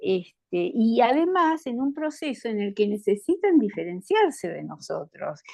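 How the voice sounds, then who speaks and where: A high-pitched woman speaks fairly slowly with hardly any pauses, her loudness swinging widely and her pitch moving through very wide swings. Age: 70s. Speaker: participant in a lay religious formation meeting. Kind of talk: group discussion.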